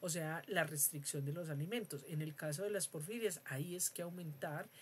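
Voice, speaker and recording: Very deep and low in pitch, a woman's somewhat breathy voice shows ordinary pitch variation. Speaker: university lecturer. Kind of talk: lecture. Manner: hesitant with fillers.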